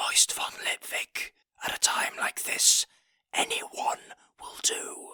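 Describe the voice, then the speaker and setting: A man whispers in a raspy, put-on character voice at a very slow pace. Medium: read story. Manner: grand, solemn.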